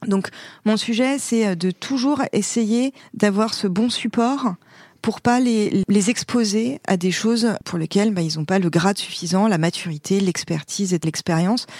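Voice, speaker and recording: The recording is very clean, with a silent background and a dry, close sound with no echo. Pitch varies in an ordinary way. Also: woman. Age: 40s. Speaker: company director in consulting. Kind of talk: interview conversation. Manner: hesitant fillers.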